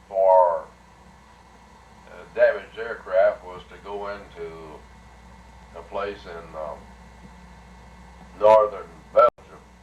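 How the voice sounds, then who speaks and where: A man at a very slow pace amid noticeable background noise. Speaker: retired air force colonel, WWII bomber pilot. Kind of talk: personal war reminiscence.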